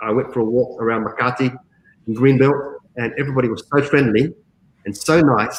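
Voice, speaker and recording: A man with an Australian accent, medium in pitch, at a fairly quick pace with fairly even intonation. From Australia, Adelaide. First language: Greek. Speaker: call center general manager. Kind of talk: interview.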